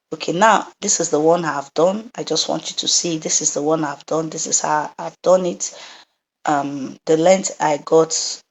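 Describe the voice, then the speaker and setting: The speaker talks at a moderate pace. Pitch variation is ordinary. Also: woman. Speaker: sewing instructor. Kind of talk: tutorial. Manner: casual, with hesitations.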